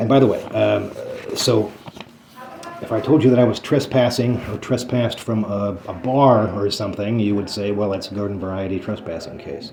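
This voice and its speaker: A man's fairly deep voice comes through with audible room reverb and clear background noise. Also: ordinary pitch variation. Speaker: citizen journalist and activist, criminal defendant. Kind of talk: casual conversation with attorney. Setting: attorney's office meeting. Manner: fast; hesitant, many fillers.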